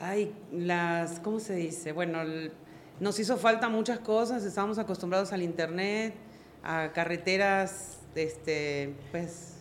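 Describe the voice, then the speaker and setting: A woman's fairly low voice at a very slow pace, with ordinary pitch variation and audible room echo. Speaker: network marketing leader. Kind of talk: interview.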